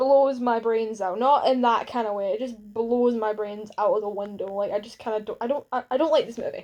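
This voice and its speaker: A woman talks at a fairly quick pace. Her voice is fairly high, with a dark, mellow tone. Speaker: YouTuber. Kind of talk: vlog rant. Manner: halting.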